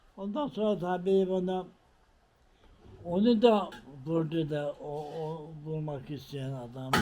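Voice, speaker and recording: Very slow and marked by long, frequent pauses, a man speaks at a fairly high pitch with ordinary variation and a dark, mellow tone. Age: 80s+. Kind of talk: life story told in interview.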